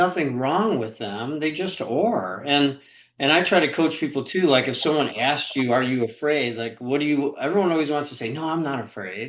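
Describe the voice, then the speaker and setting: Using a plain, everyday voice, a man speaks at a moderate pace with a fairly high pitch and lively intonation. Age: 60s. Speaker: author and sales trainer. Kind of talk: interview.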